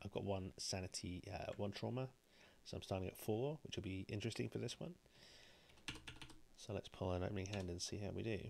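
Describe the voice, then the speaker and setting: A man talks quietly at a very deep, low pitch. He speaks at a fairly quick pace with ordinary pitch variation. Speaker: board game streamer. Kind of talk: gameplay commentary. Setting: live stream.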